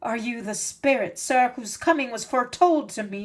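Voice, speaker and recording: Putting on a growling character voice, a woman speaks at a moderate pace with a high pitch. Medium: read story. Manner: brusque, demanding.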